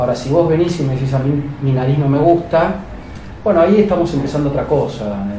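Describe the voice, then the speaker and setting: Amid noticeable background noise and audible room echo, a man speaks fairly quickly in a fairly high voice. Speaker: plastic surgeon. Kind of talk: interview testimony.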